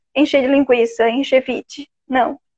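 This woman speaks with a Florianópolis accent. Her pitch is high. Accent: noticeable Florianópolis. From Santa Catarina, Brazil (Florianópolis). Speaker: podcast host. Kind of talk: live-stream conversation. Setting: live stream on Instagram.

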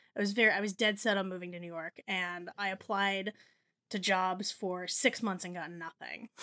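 A woman with an American accent, medium-pitched and bright, sharp in tone, at a moderate pace, with fairly even intonation, big swings in loudness, and a dry, close sound with no echo. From New Jersey. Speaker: writer and editor, food blogger. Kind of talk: casual chat.

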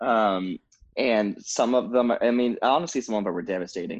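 A man speaks with a quiet background. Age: 20s. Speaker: TikToker. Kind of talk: casual chat. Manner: animated.

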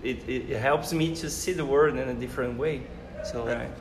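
Music plays in the background while a man's voice carries audible room echo. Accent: Portuguese. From Brazil. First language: Portuguese. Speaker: professor. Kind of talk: casual chat. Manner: halting.

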